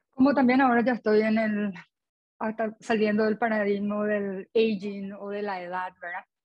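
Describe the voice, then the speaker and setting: An unremarkable speaking voice: a woman at medium pitch and moderate pace, with fairly even intonation. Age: 40s. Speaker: dieting support group member. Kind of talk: group conversation.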